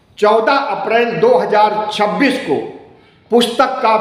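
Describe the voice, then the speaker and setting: A man speaks at a high pitch with fairly even intonation, amid noticeable background noise and audible room echo. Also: very even loudness. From northern India, Uttar Pradesh (Allahabad). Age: 60s. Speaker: Buddhist activist and YouTuber. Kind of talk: monologue address to followers.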